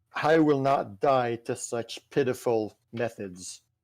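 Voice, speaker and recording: A man uses a booming, put-on character voice at medium pitch. He speaks at a fairly slow pace. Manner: commanding, defiant.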